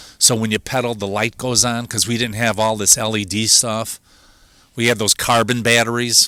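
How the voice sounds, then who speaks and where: In a Chicago accent, a man speaks at a moderate pace and medium pitch with a bright, sharp tone. The recording is very clean, with a silent background. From Chicago, southeast side. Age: 60s. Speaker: video show host. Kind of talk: casual monologue. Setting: outdoors.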